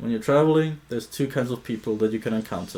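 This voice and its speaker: The man speaks with a non-native accent and ordinary pitch variation. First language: not English. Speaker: travel vlogger. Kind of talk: solo vlog monologue.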